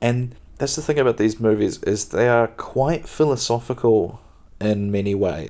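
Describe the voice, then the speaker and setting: A soft-spoken man with a dark, mellow tone, ordinary pitch variation, and a moderate pace, on a very clean recording with a silent background. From New Zealand. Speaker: podcast host and stand-up comedian. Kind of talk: casual podcast monologue, chatty. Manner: soft-spoken, relaxed.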